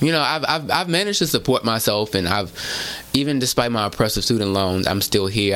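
A man's voice with lively intonation over noticeable background noise. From Houston, Texas. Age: 30s. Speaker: journalist and author. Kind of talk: casual chat.

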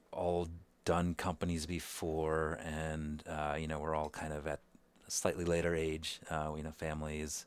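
A man's very deep, low voice, monotone and flat, at a fairly slow pace, on a very clean recording with a silent background. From India, Calcutta. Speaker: tech company CEO. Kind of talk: interview conversation. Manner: halting with many fillers.

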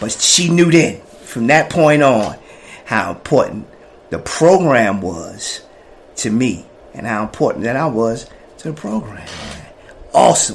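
Over noticeable background noise, a man with an American accent speaks in an animated tone at a fairly slow pace and medium pitch, with very wide pitch swings, big swings in loudness and long, frequent pauses. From New Jersey, Jersey City projects. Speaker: person in addiction recovery. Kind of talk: personal testimony.

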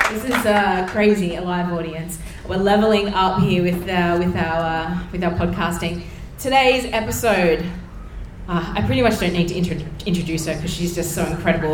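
A woman with a fairly low pitch and ordinary pitch variation speaks at a fairly quick pace amid noticeable background noise. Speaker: podcast host. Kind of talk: live podcast interview. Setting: stage with live audience.

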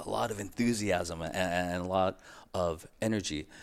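A man with an American accent speaks at a moderate pace in a very deep, low voice with ordinary pitch variation. The recording is very clean, with a silent background. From San Diego, California. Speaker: priest, vocation director. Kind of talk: interview.

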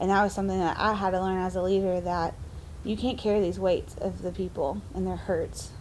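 A woman talks at a fairly quick pace. There is audible room echo. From Arkansas, Little Rock. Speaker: ministry founder. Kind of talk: casual interview.

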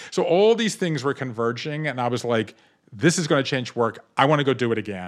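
Delivered in an unremarkable speaking voice with an American accent, the speech has lively intonation and a fairly quick pace. The recording is very clean, with a silent background. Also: man. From US South, Savannah, Georgia. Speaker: author. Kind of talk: interview.

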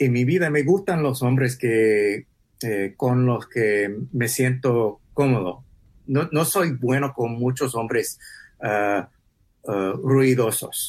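A man's speech comes very slowly, pitched in the medium range and varying in pitch in an ordinary way. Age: 40s. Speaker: podcast host. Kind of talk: interview. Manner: halting.

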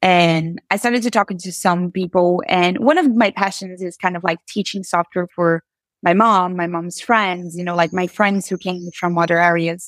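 The speaker has a Portuguese accent and talks at a moderate pace. Intonation stays fairly even in a very clean recording with a silent background. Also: woman, fairly low pitch for a woman. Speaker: software engineer and author. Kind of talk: interview.

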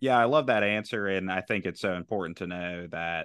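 Fairly even intonation marks a man's very deep, low voice. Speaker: podcast co-host. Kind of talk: casual chat.

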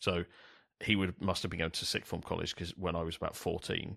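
A very deep, low-pitched man with a London accent at a very fast pace, in a dry, close sound with no echo. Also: very clean recording, silent background. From South East London. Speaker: podcast host. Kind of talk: casual chat. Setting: studio with new microphone.

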